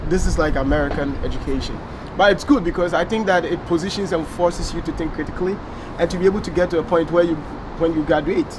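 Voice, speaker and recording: Over noticeable background noise, a man with a Ghanaian accent talks at a very fast pace in a high voice with fairly even intonation. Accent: Ghanaian accent, still noticeable. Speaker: former international student, biology graduate. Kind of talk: interview. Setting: filmed interview.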